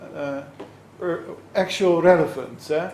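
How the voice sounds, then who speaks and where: A man with a high pitch and fairly even intonation, amid noticeable background noise and audible room echo. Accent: Dutch. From Netherlands. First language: Dutch. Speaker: law scholar. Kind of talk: lecture. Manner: halting, many fillers.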